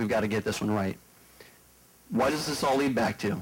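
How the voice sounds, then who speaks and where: A man talks with an American accent. His pace is very fast. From Prince William County, Virginia; Virginia. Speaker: political candidate; candidate. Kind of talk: debate. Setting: stage with audience. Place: hall. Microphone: handheld.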